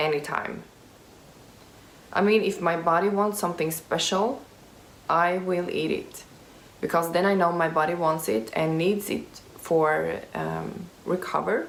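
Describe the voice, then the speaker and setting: With a Swedish accent, a woman speaks at a fairly slow pace and a fairly low pitch, with ordinary pitch variation, long, frequent pauses and audible room echo. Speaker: youtuber with type 1 diabetes. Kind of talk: Q&A vlog. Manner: halting, many fillers.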